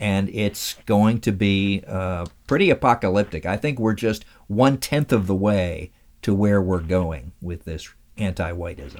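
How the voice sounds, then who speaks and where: On a very clean recording with a silent background, a man with an American accent speaks at a fairly slow pace in a fairly low pitch, an unremarkable speaking voice with ordinary pitch variation. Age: 60s. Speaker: radio host and interviewee.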